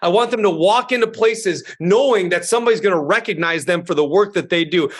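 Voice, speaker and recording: Loud and animated, a man talks at a very fast pace in a high pitch with ordinary pitch variation. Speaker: school superintendent. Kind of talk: interview.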